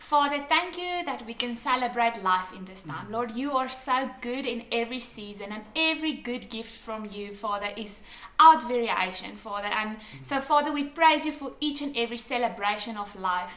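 A woman with a high voice speaks at a moderate pace, her loudness swinging widely, with audible room echo. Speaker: church service host. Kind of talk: welcome announcement and prayer. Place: home room. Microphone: camera far.

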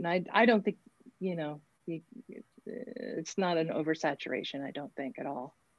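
A woman at a moderate pace, lively intonation, dry sound with no echo, quiet background. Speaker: rock keyboardist and singer; interviewee. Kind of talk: interview. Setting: video call. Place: home room. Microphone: video call.

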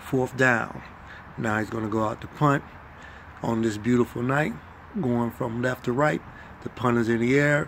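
Man at a moderate pace with long, frequent pauses, ordinary pitch variation and light background noise. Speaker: sports commentator impressionist. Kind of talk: live sports play-by-play commentary, done as a comedy bit. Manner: playful, laughing, self-amused. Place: home room.

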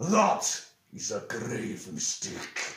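Growling in a put-on character voice, a man uses a menacing tone at medium pitch, with slight echo. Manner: growling, menacing.

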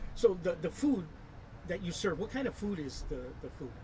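There is light noise in the background. A man talks with ordinary pitch variation. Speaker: internet show host. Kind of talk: casual interview. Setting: outdoors at a restaurant. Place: garden.

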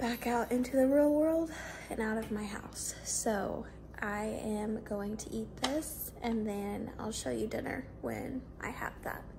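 Over noticeable background noise, a woman speaks at a very slow pace with ordinary pitch variation. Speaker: vlogger. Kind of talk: casual vlog chat. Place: kitchen. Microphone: phone near.

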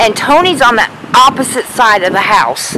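A dry, echo-free sound at a fairly slow pace, with light background noise. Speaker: urban explorer vlogger. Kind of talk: casual vlog chat. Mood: nervous, excited. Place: open country. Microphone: phone near.

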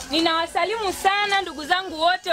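Over light background noise, a woman talks at a moderate pace in an extremely high pitch. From Tanzania, Momba area; Tanzania. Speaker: parliamentary candidate; candidate. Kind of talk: campaign speech. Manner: animated. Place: open country.

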